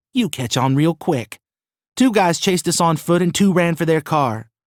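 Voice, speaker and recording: Using a put-on character voice, a man speaks high-pitched and raspy with lively intonation at a moderate pace on a very clean recording with a silent background. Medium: read story. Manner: sarcastic.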